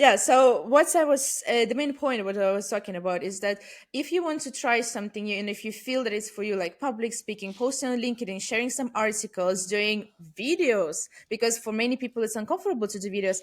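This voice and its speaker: A woman's fairly high voice at a fairly quick pace, with lively intonation, on a very clean recording against a silent background. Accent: non-native. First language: not English. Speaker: business development and growth leader. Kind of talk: podcast interview. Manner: hesitant, many fillers.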